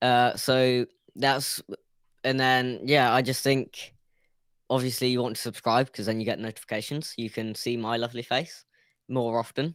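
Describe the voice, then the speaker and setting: Monotone and flat, a man with a British accent speaks at a moderate pace with long, frequent pauses on a very clean recording with a silent background. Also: medium pitch for a man. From UK. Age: young. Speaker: YouTube creator, caller on show. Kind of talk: casual interview. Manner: halting.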